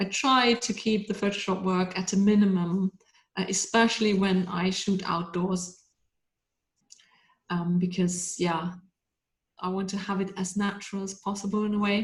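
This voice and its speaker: Somewhat breathy, a woman speaks at medium pitch and moderate pace in a monotone, flat delivery with long, frequent pauses. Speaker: pet photographer. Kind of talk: webinar talk.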